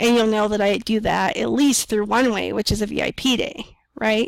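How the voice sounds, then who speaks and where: A plain, everyday voice with ordinary pitch variation sounds dry and close, with no echo. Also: woman. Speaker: business coach. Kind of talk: tutorial.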